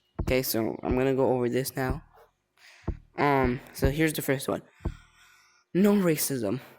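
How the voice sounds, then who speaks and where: The speech moves at a moderate pace over music in the background. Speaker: gaming YouTuber. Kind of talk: casual gaming commentary. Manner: halting; animated.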